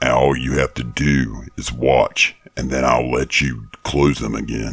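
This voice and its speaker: Growling in a put-on character voice, a man speaks at a fairly slow pace with a very deep, low pitch and monotone, flat intonation. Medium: read story. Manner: calm, dryly ironic.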